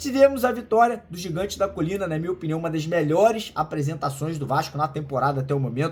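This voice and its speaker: An animated man's voice, fairly high in pitch, at a fairly quick pace with ordinary pitch variation. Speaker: football news youtuber. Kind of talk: casual news commentary. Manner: fast.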